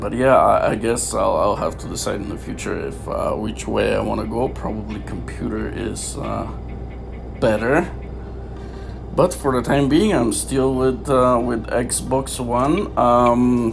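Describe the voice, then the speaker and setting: A speaker with a non-native accent talks at a fairly slow pace. There is audible room echo and noticeable background noise. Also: man. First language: not English. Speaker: gaming YouTuber. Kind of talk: gameplay commentary. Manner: halting, many fillers.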